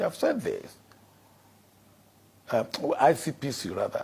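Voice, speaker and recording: This man speaks with a Nigerian accent. His pace is moderate. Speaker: former head of state. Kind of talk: interview answer.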